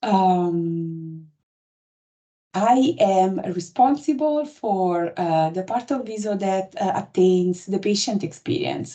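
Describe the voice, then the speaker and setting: In an Italian accent, a woman speaks with a dark, mellow tone. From Italy. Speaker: patient experience lead for a health app. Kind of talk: webinar presentation. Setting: online webinar.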